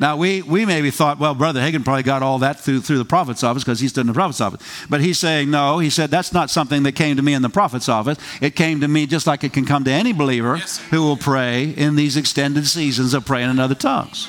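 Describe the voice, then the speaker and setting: With an animated tone and very even loudness, a man talks at a very fast pace and a fairly high pitch. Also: ordinary pitch variation. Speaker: preacher. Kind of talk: fervent Pentecostal prayer sermon, exhorting congregation to pray in tongues. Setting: church service with congregation. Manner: animated, punctuating every line with amen, hallelujah, praise God; rousing, call-and-response style with the congregation.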